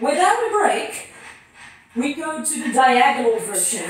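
Strong room echo surrounds a woman who speaks at a very slow pace. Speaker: fitness instructor. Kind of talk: workout instruction. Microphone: camera far.

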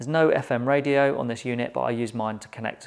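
A man speaks fast with vocal fry and a fairly low pitch. His intonation stays fairly even.

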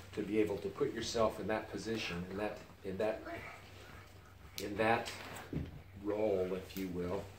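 A man's fairly low voice, monotone and flat, at a moderate pace with long, frequent pauses, plus audible room echo and light background noise. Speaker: retired church missionary. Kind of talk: family interview answer. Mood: reflective, sentimental. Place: home room. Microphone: camera far.

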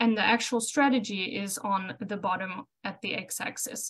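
A South African accent, somewhat breathy, at a fairly slow pace with ordinary pitch variation. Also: woman. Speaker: cattle reproduction specialist. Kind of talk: educational webinar presentation. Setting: video call.

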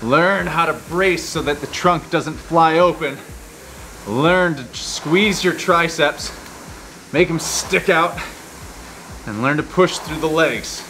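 A man speaks at a very slow pace, with long, frequent pauses, ordinary pitch variation and music playing behind him. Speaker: rowing coach. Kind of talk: workout instruction. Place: gym. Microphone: lapel.

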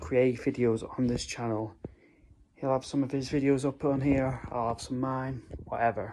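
A man speaks in a dark, mellow tone with monotone, flat intonation. There is light background noise. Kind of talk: casual vlog chat. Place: home room. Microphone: phone near.

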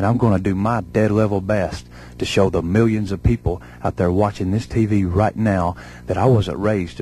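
With a Southern US accent, a man talks at a moderate pace in a very deep, low pitch with vocal fry, lively intonation and a dark, mellow tone, the sound dry with no echo and light background noise behind him. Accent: Southern American. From Southern United States. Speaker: professional wrestler. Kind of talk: wrestling promo. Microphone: handheld.

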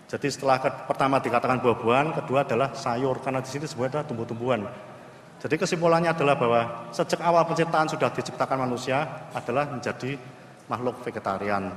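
A man speaks at a very fast pace with ordinary pitch variation, with audible room echo and light background noise. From Indonesia. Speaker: naval physician; conference presenter. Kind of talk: conference presentation. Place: hall.

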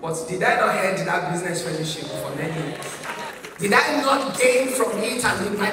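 A woman with a Nigerian accent is heard with audible room echo and noticeable background noise. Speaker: pastor. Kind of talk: heartfelt eulogy at a church memorial service. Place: church.

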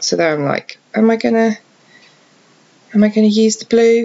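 A woman is speaking. Her voice is quiet. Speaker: card crafter. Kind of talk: craft tutorial voice-over. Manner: quiet, hushed; hesitant, many fillers.

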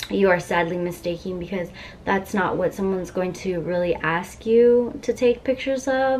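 Over light background noise, a woman talks at a moderate pace. Her pitch varies in an ordinary way. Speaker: vlogger. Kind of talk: casual vlog chat. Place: home room. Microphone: camera far.

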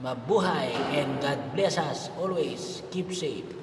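Here a man with a high pitch speaks at a very slow pace. Noticeable background noise runs throughout. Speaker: fitness vlogger. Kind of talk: casual vlog chat. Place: gym. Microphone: phone near.

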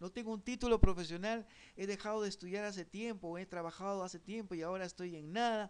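A man talks. His pace is moderate. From Peru. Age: 40s. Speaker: online course instructor. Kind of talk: online class lecture. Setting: live online broadcast. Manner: halting, frequent repetitions and fillers. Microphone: webcam.

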